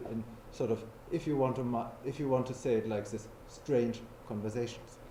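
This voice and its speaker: The recording carries audible room echo. A man talks at a moderate pace. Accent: German. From Germany. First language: German. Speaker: philosopher. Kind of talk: lecture.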